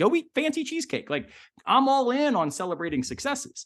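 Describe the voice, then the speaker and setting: Someone with a Southern US accent speaks at a moderate pace against a quiet background. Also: man. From US South. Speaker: philosopher. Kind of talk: casual chat.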